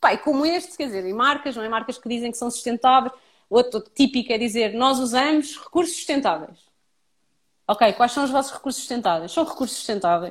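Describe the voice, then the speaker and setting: The recording is very clean, with a silent background. A woman with a high pitch and lively intonation speaks at a fairly quick pace. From Portugal, Lisbon area and Santarém. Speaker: sustainability advocate, former journalist. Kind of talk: interview.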